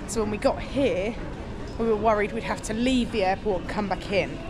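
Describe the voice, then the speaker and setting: A woman talks at a fairly quick pace with fairly even intonation. Noticeable background noise can be heard. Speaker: travel vlogger. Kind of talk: casual vlog chat. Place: station. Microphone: phone near.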